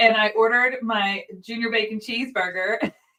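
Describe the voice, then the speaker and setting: A woman with an American accent, fairly high pitch and a moderate pace. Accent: subtle Southern twang, mostly toned down. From US South, Nashville. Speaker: livestream co-host. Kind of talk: casual chat.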